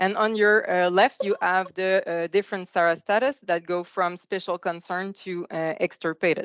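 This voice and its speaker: A woman with a Quebec accent speaks at a moderate pace and medium pitch, with fairly even intonation and hardly any pauses. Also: dry, close sound with no echo. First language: French. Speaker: government biologist. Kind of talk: conference presentation. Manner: hesitant, many fillers.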